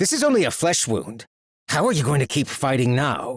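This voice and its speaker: A growling, put-on character voice with lively intonation moves at a moderate pace with very even loudness, recorded very cleanly against a silent background. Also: man, fairly high pitch for a man. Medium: read story. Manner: cold, clipped.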